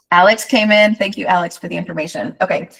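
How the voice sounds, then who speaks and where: A woman's somewhat breathy voice. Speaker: travel advisor and software trainer. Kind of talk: live software training with Q&A. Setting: live online training session. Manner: fast.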